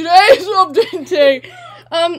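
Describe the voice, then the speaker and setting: Amid noticeable background noise, a woman speaks in an animated tone. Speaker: gaming youtuber. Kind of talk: casual gameplay commentary.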